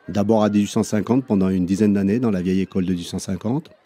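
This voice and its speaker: A man talks with a fairly low pitch and a dark, mellow tone. His intonation stays fairly even. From France, Savoie (Chambéry). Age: 60s. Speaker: primary school teacher. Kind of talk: interview. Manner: hesitant, many fillers.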